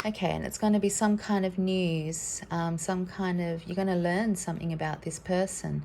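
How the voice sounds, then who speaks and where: Speaking at a moderate pace with hardly any pauses, a woman uses a fairly low pitch and monotone, flat intonation. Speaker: tarot card reader. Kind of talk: card reading for viewers. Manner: hesitant, many fillers; casual.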